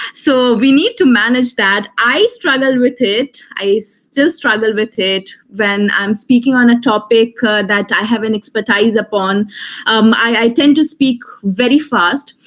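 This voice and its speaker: A woman speaks with an Indian accent at a fairly high pitch. She goes at a fairly slow pace with ordinary pitch variation. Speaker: law graduate, moot court competitor. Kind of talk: online webinar talk. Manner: hesitant, many fillers.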